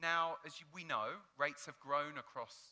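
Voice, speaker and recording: This man speaks with a British accent in a bright, sharp tone, his pitch high and its variation ordinary. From United Kingdom. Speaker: hotel industry data analyst. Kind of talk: conference presentation.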